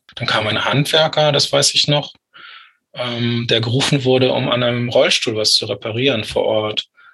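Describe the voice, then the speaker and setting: Speaking at a moderate pace, a man with an ordinary speaking voice keeps a medium pitch and fairly even intonation. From northern Germany, Lüneburg Heath. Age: 40s. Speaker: author with psychosis experience. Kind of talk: interview about personal story.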